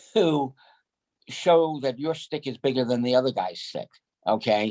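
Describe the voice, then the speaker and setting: This man talks at a fairly slow pace with a Northeastern US accent, and the sound is dry and close with no echo. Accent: Northeast US. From New York. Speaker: sales rep. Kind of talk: business meeting.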